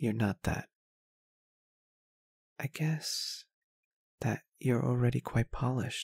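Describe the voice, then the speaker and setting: In a dry, close sound with no echo, the soft-spoken voice moves at a very slow pace in a gentle tone, with very even loudness and long, frequent pauses. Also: man. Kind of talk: ASMR roleplay. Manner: gentle, comforting.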